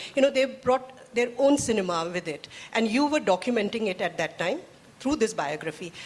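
A woman talks at a fairly quick pace and a fairly high pitch, with very wide pitch swings. Noticeable background noise is present. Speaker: journalist and moderator. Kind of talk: interview moderation. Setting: stage with audience.

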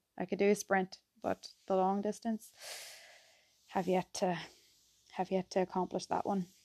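A dark, mellow, relaxed tone with monotone, flat intonation, a dry, close sound with no echo and a quiet background. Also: woman. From County Tyrone, Ireland. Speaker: sports recovery therapist and podcast host. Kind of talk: casual solo podcast intro. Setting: solo recording. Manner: relaxed, chatty.

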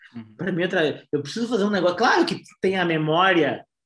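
High pitch for a man, plus ordinary pitch variation. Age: 40s. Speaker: advertising executive. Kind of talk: casual chat.

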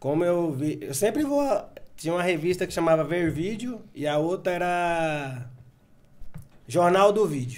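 Ordinary pitch variation comes with a moderate pace in this speech. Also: man. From Bahia, Brazil. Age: 40s. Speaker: video game store owner. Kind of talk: casual interview.

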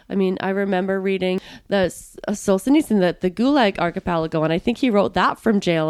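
A woman with a plain, everyday voice speaks at a fairly quick pace and medium pitch, with ordinary pitch variation. The recording is very clean, with a silent background. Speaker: podcast interviewer. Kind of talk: casual interview.

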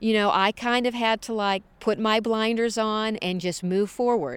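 With an American accent, a woman talks in a fairly high voice with ordinary pitch variation. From US Midwest, St. Louis. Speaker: TV producer. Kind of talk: interview. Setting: outdoors.

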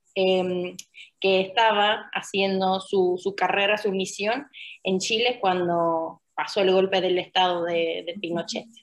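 At a fairly slow pace, a woman with an Argentine accent talks in a medium pitch. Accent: Argentine-tinged Spanish. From Finland. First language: Finnish (speaking Spanish). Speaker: UN refugee protection officer. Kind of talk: interview.

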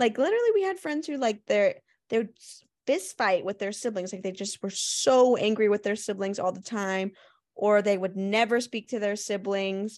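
A woman speaks in an unremarkable speaking voice at medium pitch. Her pitch variation is ordinary, and the background is quiet. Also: moderate pace. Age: 20s. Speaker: podcast co-host. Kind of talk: casual chat.

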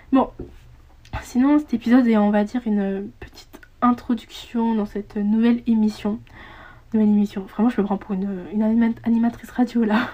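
A woman's somewhat breathy, dark, mellow voice holds a fairly high pitch in a monotone, flat intonation, broken by long, frequent pauses. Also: moderate pace. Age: young. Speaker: podcaster. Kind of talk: casual monologue. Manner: halting.

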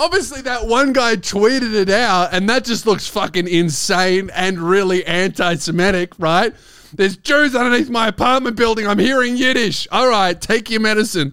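A man with an Australian accent speaks at a moderate pace in a bright, sharp, animated tone. His pitch variation is ordinary, and there are hardly any pauses. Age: 20s. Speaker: stand-up comedian and podcast host. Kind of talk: casual comedic chat, podcast banter with rants.

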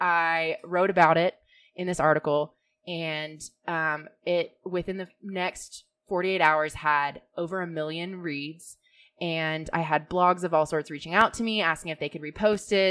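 This woman has a plain, everyday voice, fairly low in pitch, with fairly even intonation at a fairly slow pace. The recording is very clean, with a silent background. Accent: American. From Georgia, US South. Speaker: blogger and manager. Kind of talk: interview. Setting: studio.

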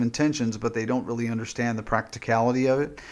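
Medium pitch marks this voice. It belongs to a man. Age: 50s. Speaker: pastor and former podcaster. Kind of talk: casual chat. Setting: podcast recording. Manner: halting, many fillers and repeats.

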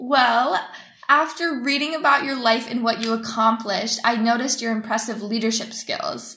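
Noticeable background noise and audible room echo around fairly even intonation at a moderate pace. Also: woman, fairly high pitch for a woman. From United States. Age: 20s. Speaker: student interviewer. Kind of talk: interview. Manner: formal.

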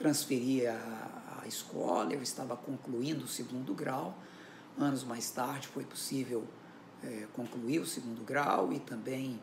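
A man talks at a fairly slow pace, medium in pitch with ordinary pitch variation. Noticeable background noise and audible room echo fill the recording. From Minas Gerais, Brazil (Belo Horizonte). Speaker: writer. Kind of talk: interview.

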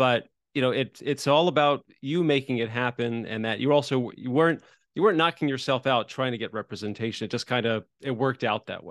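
Talking at a fairly quick pace, a man with a medium pitch and ordinary pitch variation has an unremarkable speaking voice. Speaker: podcast co-host and screenwriting blogger. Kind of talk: casual interview chat.

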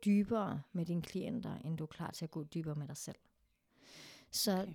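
Dark and mellow in tone, the voice moves at a moderate pace with ordinary pitch variation, its sound dry and close with no echo in a very clean recording with a silent background. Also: woman. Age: 30s. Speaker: sexologist and therapist. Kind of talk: casual chat.

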